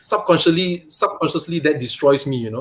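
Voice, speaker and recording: A man speaks with a Malaysian accent. His pitch is fairly high and his pace moderate. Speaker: toy photographer and diorama maker. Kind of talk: interview.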